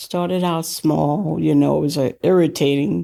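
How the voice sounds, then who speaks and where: On a very clean recording with a silent background, a woman with an American accent speaks at a fairly slow pace in a very deep, low pitch and a dark, mellow tone. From US South, Charleston, South Carolina. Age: 60s. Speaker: program participant. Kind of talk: personal testimony.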